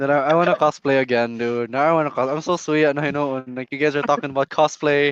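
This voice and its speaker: A man with a Visayan Filipino accent, fairly high pitch, a very fast pace and hardly any pauses, in a dry, close sound with no echo. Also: fairly even intonation. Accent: Filipino (Cebuano) English. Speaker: podcast host. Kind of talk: casual chat.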